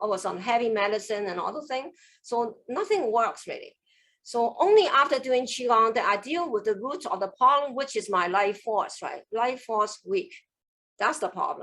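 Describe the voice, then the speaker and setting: At a moderate pace, a woman speaks in a fairly high, bright, sharp voice with lively intonation. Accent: Cantonese. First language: Cantonese. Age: 60s. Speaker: qigong master. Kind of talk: online class. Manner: animated.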